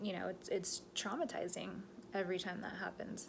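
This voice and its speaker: There's audible room echo as a woman talks at a moderate speed. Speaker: medium. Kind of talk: casual vlog monologue.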